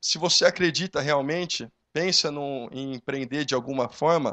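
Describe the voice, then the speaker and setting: A man speaks with an interior São Paulo accent and ordinary pitch variation. The background is quiet. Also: dry, close sound with no echo. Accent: interior paulista accent, noticeable. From Brazil, São Carlos (interior of São Paulo state). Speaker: young entrepreneur, panel speaker. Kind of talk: motivational talk.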